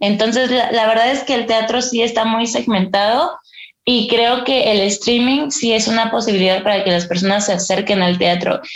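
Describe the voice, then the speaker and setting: In a central Mexican accent, a woman speaks at a fairly high pitch with ordinary pitch variation and very even loudness, with audible room echo. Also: moderate pace. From Mexico, Estado de México (Ixtapaluca). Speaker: stage actress. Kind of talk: interview.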